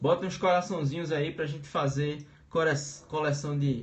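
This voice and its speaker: A man with a Pernambuco accent speaks at a fairly high pitch with fairly even intonation. Audible room echo surrounds him. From Brazil, Pernambuco. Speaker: teacher. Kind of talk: live-streamed lecture. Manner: casual, hesitant with filler sounds.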